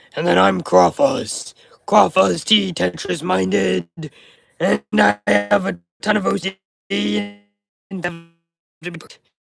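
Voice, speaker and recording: Putting on a character voice, a man sounds raspy and strained at a fairly low pitch, speaking at a fairly slow pace with long, frequent pauses. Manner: energetic, exaggerated.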